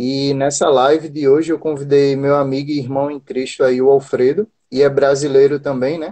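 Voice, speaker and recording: A man's fairly high, monotone, flat delivery at a moderate pace with hardly any pauses. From Brazil, Recife, Pernambuco. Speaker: job-listings channel host. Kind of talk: live stream interview.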